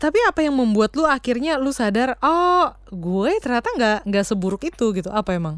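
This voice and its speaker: High-pitched woman's voice with very wide pitch swings, moderate pace, very clean recording and silent background. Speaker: podcast co-host. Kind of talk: casual chat.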